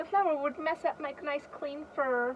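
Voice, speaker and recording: A woman uses a put-on character voice at a high pitch. She keeps a moderate pace over clear background noise. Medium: read story. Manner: vain, fussy.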